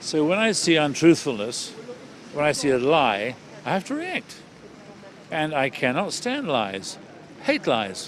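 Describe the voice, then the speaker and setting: A man's fairly high voice with very wide pitch swings, a fairly slow pace, long, frequent pauses and noticeable background noise. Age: 70s. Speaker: retired surgeon and campaigner. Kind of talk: interview. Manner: hesitant, repeats words.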